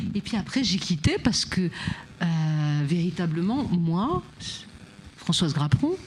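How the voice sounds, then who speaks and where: A woman speaks at a fairly slow pace with a fairly low pitch. Her intonation is lively. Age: 60s. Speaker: freemason guest, former education and social sector worker. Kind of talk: panel discussion. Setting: studio on a barge.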